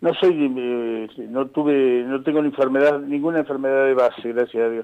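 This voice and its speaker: The man's voice has a dark, mellow tone. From Argentina, Pehuajó (Buenos Aires province). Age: 60s. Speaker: nurse. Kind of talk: phone interview. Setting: phone call. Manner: halting, many repetitions and fillers.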